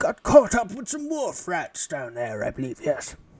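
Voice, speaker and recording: This is a put-on character voice with very wide pitch swings. It moves at a moderate pace. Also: man, high pitch for a man. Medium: actual play. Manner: rambling, old-fashioned politeness.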